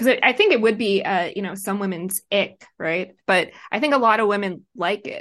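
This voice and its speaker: A woman with a plain, everyday voice, medium pitch and ordinary pitch variation, at a moderate pace over a quiet background. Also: hardly any pauses. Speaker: writer and online commentator. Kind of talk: casual banter interview. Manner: joking, laughs often.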